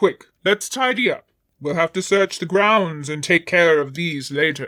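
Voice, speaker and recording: A man's put-on character voice, high in pitch, at a moderate pace. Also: dry, close sound with no echo. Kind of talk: Victorian period speech. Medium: read story. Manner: formal, calm.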